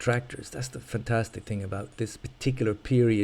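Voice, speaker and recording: A man with an Irish accent talks very fast in a fairly low, monotone voice with flat intonation. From Ireland. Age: old. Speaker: video game streamer. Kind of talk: live gameplay commentary. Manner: casual, rambling with hesitations.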